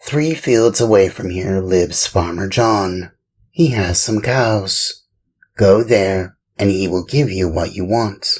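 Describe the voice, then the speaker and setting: In a put-on character voice, a man speaks at a fairly slow pace with a fairly low pitch. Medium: read story. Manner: calm, helpful.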